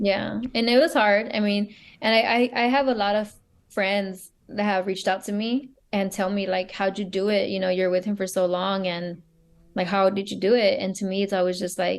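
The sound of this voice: A woman's medium-pitched voice with little pitch movement, at a moderate pace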